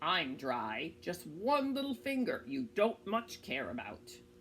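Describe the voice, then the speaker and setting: Putting on a character voice, a woman speaks at a fairly slow pace with fairly low pitch and very wide pitch swings, over clear background noise. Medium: read story. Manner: persistent, coaxing.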